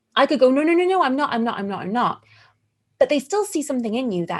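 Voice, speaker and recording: With an American accent, a woman speaks using very wide pitch swings. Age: 30s. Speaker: burlesque performer and teacher. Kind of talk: interview conversation. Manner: animated.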